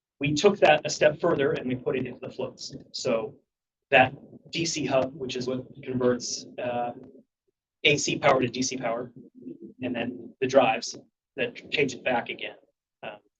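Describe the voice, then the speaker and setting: A somewhat breathy man speaks with long, frequent pauses, big swings in loudness and ordinary pitch variation. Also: medium pitch for a man. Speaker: ferry agency engineering staff presenter. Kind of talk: board meeting presentation. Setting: public board meeting. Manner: fast.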